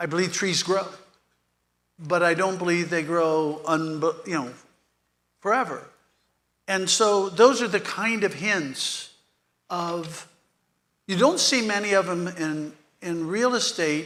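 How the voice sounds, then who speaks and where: Very slow and broken by long, frequent pauses, a man speaks at a high pitch with a bright, sharp tone. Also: ordinary pitch variation. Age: 70s. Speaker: real estate economist. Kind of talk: panel interview.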